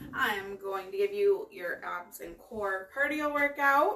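A woman is speaking. There is noticeable noise in the background. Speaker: fitness instructor. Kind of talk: workout instruction. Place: home room. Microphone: camera far.

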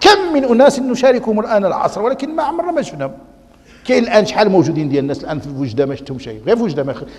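Talking at a very fast pace, a man with a Moroccan accent uses a high pitch, very wide pitch swings and big swings in loudness. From Morocco. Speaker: Islamic scholar and preacher; preacher. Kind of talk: religious lecture.

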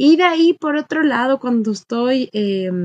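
A woman's voice over a quiet background. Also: dry sound with no echo. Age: 20s. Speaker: recruiter and dog owner; podcast guest. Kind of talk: casual interview chat. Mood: relaxed, smiling. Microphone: webcam.

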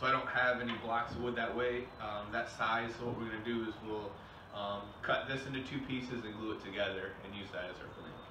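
Against noticeable background noise, a man talks at a fairly quick pace with monotone, flat intonation. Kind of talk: tutorial. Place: workshop. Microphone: camera far.

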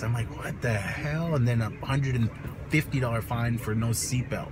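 A man with ordinary pitch variation, music in the background. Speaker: vlogger. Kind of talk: casual vlog chat, storytelling. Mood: exasperated, animated storytelling. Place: car. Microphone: phone near.

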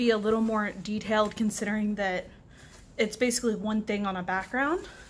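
A woman speaks in a somewhat breathy voice. Light background noise can be heard. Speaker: crafter reviewing a kit. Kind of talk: casual unboxing commentary. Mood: disappointed. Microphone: camera far.

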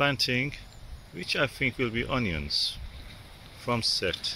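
A man speaks slowly at a medium pitch with a bright, sharp tone.

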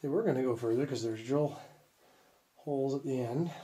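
Light background noise can be heard. A man talks with ordinary pitch variation. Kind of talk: casual exploration commentary. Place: tunnel cave. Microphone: phone near.

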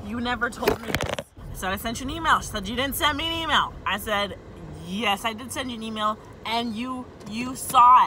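A woman's high-pitched voice at a fairly quick pace, with ordinary pitch variation, big swings in loudness, a dry sound with no echo and noticeable background noise. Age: 20s. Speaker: vlogger. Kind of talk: rant to camera. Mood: annoyed, exasperated. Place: car. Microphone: phone near.

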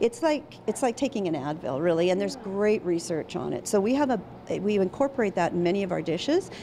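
A woman's fairly quick speech carries over noticeable background noise. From Saskatchewan, Canada (Regina). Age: 50s. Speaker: physician and café owner. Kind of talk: TV interview. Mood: warm, enthusiastic. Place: cafe. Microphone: handheld.

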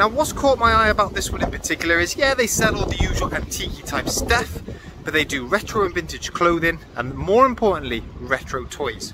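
Noticeable background noise sits behind a man talking at a fairly quick pace, in a dry sound with no echo. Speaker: part-time online reseller. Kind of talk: casual vlog chat. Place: street. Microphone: phone near.

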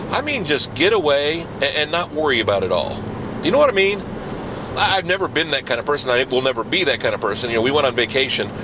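A man talking at a very fast pace over noticeable background noise. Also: dry sound with no echo. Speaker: video blogger. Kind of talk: casual video blog monologue. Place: car. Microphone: phone near.

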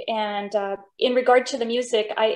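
A woman speaks with a fairly high pitch and fairly even intonation. The background is quiet. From Denmark, raised in US Pacific Northwest. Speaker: opera singer. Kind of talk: interview. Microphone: video call.

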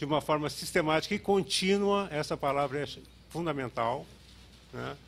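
The speaker is a man who talks at a moderate pace. His intonation sounds lively. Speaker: health indicators researcher. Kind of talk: conference talk with slides. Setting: auditorium with audience. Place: hall. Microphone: podium.

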